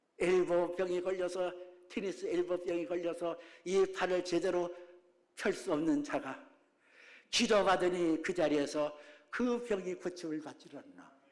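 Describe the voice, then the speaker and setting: A high-pitched man talks at a fairly slow pace, with long, frequent pauses and ordinary pitch variation. Room echo can be heard. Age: 70s. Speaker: pastor. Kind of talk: sermon. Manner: animated, dynamic variation.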